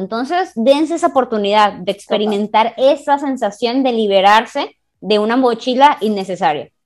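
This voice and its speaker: Her voice is fairly high-pitched for a woman, with lively intonation and an animated tone. She keeps to a moderate pace. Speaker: podcast co-host. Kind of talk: casual chat.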